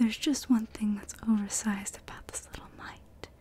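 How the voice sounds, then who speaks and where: This is a whisper. The tone is gentle. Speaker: ASMR content creator. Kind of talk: ASMR storytime, children's book read aloud. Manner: whispered, soft-spoken, gentle.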